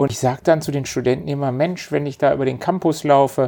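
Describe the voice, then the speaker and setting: In a normal speaking voice, a man talks with a fairly high pitch and fairly even intonation. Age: 50s. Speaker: company managing director. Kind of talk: interview conversation.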